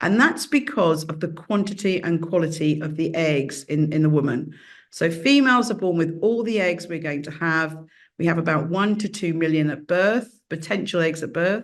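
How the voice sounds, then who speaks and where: A woman with a British accent at a fairly low pitch, moderate pace and ordinary pitch variation, with audible room echo. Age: 60s. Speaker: professor. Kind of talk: lecture.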